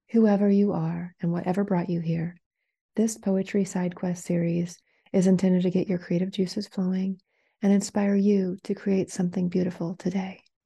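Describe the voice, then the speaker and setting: Against a quiet background, a woman speaks at a moderate pace in a medium pitch, her tone dark and mellow, somewhat breathy, and her intonation monotone and flat. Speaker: podcast host reading poem. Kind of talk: poem reading, scripted intro and outro.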